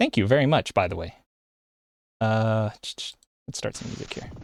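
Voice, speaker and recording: The recording is dry and close, with no echo. A man with an American accent talks at a medium pitch and a moderate pace. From United States. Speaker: vtuber streamer. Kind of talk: live stream chat. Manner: halting.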